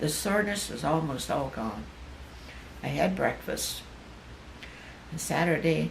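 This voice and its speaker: A woman pauses long and often while speaking fairly slowly, with noticeable background noise present. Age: 80s+. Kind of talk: reading personal notes aloud.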